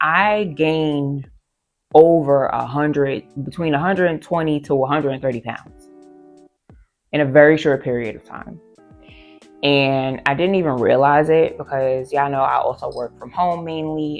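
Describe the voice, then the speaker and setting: A woman speaks at a moderate pace over background music, with long, frequent pauses and big swings in loudness. Her pitch is very deep and low, with ordinary variation. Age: 30s. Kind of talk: casual talk to camera. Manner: emotional, reflective.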